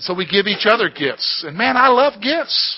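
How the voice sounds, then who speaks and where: This man speaks with an American accent. His intonation is lively. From US. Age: 40s. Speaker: pastor. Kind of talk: sermon. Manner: animated.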